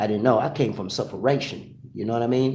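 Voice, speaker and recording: Audible room echo surrounds a voice speaking with a Jamaican accent. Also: man. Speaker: live stream host. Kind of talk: casual chat. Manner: repetitive, halting restarts.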